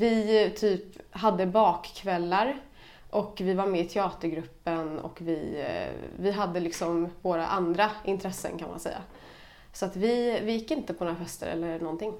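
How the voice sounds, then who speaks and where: A woman talks at a fairly slow pace in a Stockholm accent, her pitch medium with ordinary variation. Audible echo from the room surrounds her voice. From Stockholm, Sweden. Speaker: podcast guest. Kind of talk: casual chat.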